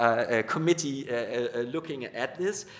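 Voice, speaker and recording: With ordinary pitch variation, the man talks at a medium pitch. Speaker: academic speaker on communication research. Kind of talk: panel discussion. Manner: fast; halting with many repetitions.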